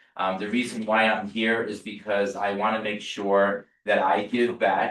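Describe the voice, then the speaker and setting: Fairly low-pitched male voice with a New Jersey accent and monotone, flat intonation. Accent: New Jersey American. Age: 40s. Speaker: real estate agent. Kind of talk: sales training talk. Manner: casual, repetitive stammering.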